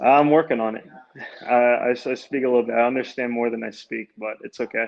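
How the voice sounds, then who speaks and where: A man with an American accent speaks fairly quickly at a medium pitch, his intonation monotone and flat. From US, Baltimore. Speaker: amateur soccer player. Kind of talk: interview. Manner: halting.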